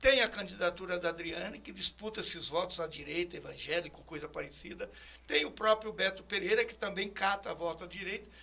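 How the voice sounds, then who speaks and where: A man's raised, projected voice, high in pitch, bright and sharp in tone, at a moderate pace. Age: 70s. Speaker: politician. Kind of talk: interview.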